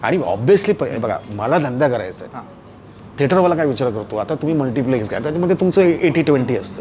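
A man talks with lively intonation at a fairly high pitch. Light background noise sits behind him. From Mumbai, Lalbaug; Mumbai. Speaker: film actor; film actor interviewee. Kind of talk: interview. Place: home room. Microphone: lapel.

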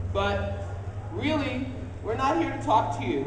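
Here a woman is speaking. Light background noise and audible room echo surround her voice. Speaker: convention panel host. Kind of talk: live convention panel. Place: hall. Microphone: pa.

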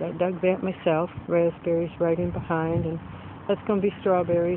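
The speech moves at a moderate pace. Noticeable background noise sits under a dry sound with no echo. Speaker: home vlogger. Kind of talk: casual vlog chat. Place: garden. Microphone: phone near.

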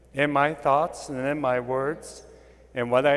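With music playing in the background, a man speaks at a very slow pace with fairly even intonation. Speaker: priest celebrating Mass. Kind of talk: liturgical greeting and prayer. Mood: calm, reverent. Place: church. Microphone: lapel.

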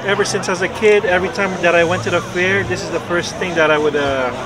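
A man speaks at a fairly high pitch with ordinary pitch variation. Clear background noise and clear crowd noise run behind him.

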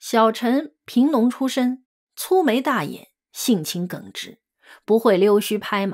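A woman talks very slowly at a fairly high pitch. The recording is very clean, the background silent. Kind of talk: audiobook reading of a memoir, scripted narration.

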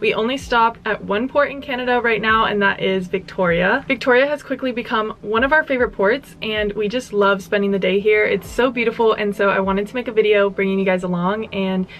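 A woman talks at a fairly quick pace with hardly any pauses and ordinary pitch variation. Light background noise is audible. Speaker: travel vlogger. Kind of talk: casual vlog chat. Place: home room.

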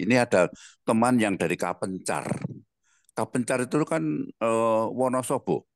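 A man talks at a fairly slow pace with ordinary pitch variation. The sound is dry with no echo, over a quiet background. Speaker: audience member. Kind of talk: comment and closing prayer. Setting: video call. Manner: animated. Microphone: video call.

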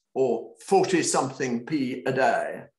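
A man is speaking. There is audible room echo, and the background is quiet. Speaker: author. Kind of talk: online panel talk. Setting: video call. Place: home room. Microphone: webcam.

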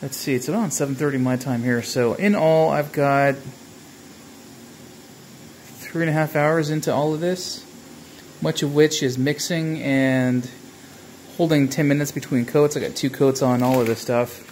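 The speech moves at a fairly slow pace with long, frequent pauses. Light background noise is present. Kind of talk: casual vlog chat. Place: garage. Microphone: phone near.

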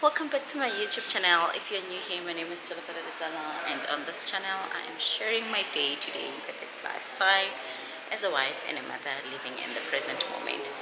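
Against noticeable background noise, a woman speaks at a fairly quick pace. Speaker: vlogger. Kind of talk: casual vlog chat. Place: hall. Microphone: phone near.

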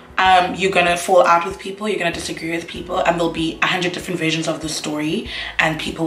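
Over light background noise and audible room echo, a woman speaks very fast at a fairly low pitch with fairly even intonation. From South Africa. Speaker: YouTuber, university student. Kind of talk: casual talk to camera. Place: home room. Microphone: camera far.

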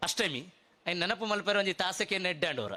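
This man's voice has a bright, sharp tone. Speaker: public speaker. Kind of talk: speech at a festival.

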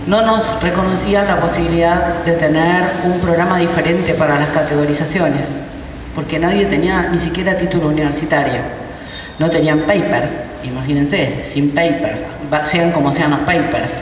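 At a moderate pace, a woman with a fairly low pitch and fairly even intonation speaks amid audible room echo and light background noise. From Argentina, Buenos Aires area. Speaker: university rector. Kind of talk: conference talk. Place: hall. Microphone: handheld.

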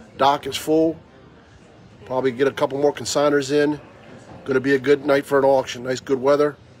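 Over faint music in the background, a man talks at a very fast pace and a medium pitch. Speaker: auctioneer / antiques dealer hosting a tailgate auction. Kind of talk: casual talk to camera, promotional video announcement. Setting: outdoors at an auction venue. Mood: upbeat, inviting. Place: market. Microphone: phone near.

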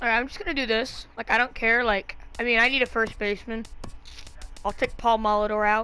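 Over music in the background, a woman with a fairly high pitch speaks at a fairly quick pace. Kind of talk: casual gaming chat while opening card packs. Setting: home recording of a video game. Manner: casual, thinking aloud, rambling and excitable.

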